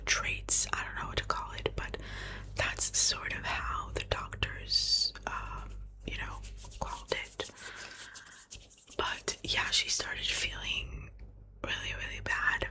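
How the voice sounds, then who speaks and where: Whispering and soft-spoken, the voice moves at a very slow pace with long, frequent pauses over noticeable background noise. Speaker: ASMR creator. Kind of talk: ASMR whispered ramble to camera, personal life update. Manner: whispered, close-up, soft.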